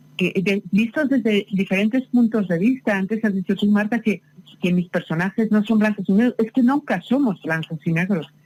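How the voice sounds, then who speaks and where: A somewhat breathy woman speaks at medium pitch and a moderate pace, with ordinary pitch variation. Her loudness stays very even, and the sound is dry and close with no echo. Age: 60s. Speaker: novelist. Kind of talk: interview. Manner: halting.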